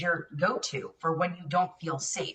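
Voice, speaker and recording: Using a plain, everyday voice with an American accent, a woman talks at a moderate pace with ordinary pitch variation. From New York City. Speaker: policy expert, former police officer. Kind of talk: TV interview.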